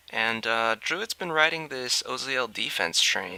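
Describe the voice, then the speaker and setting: A man with an American accent, fairly slow and lively in intonation, over noticeable background noise. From California. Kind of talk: video game commentary. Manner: casual.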